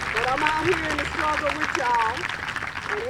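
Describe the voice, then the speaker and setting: A woman is speaking. Crowd noise can be heard behind her. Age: 70s. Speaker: rally speaker. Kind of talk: speech at a rally.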